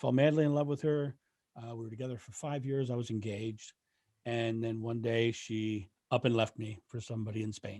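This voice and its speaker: A man speaks at a fairly quick pace with a dark, mellow tone, medium pitch and fairly even intonation. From Delaware, US. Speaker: renaissance fair performer. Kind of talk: podcast interview. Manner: halting, repetitive starts.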